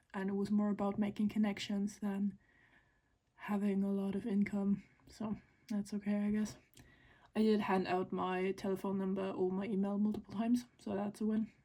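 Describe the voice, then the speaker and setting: Somewhat breathy and dark, mellow in tone, a woman at medium pitch speaks at a moderate pace with monotone, flat intonation. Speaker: crochet vlogger and small craft business owner. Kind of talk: casual vlog narration. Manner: soft-spoken.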